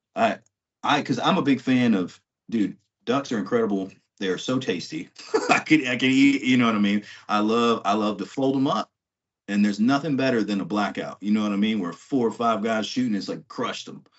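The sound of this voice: With an American accent, a man talks at a moderate pace, his pitch fairly low with ordinary variation.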